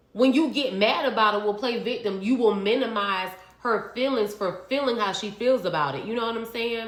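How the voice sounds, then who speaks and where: A woman with a fairly high pitch talks at a fairly quick pace in an animated tone, with ordinary pitch variation. Noticeable background noise and audible room echo come through. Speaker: reality TV recap vlogger. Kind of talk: casual monologue vlog. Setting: home kitchen.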